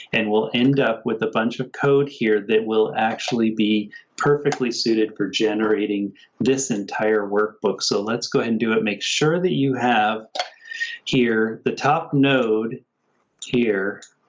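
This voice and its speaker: This is a normal speaking voice. The pace is fairly slow and the intonation fairly even. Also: man, medium pitch for a man. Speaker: software engineer giving a workshop walkthrough. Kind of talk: tutorial. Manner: casual, conversational.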